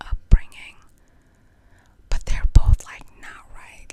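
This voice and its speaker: Noticeable background noise fills the clip. Through it, a woman whispers. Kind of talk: casual ASMR chat to camera, story time. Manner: whispered, soft-spoken.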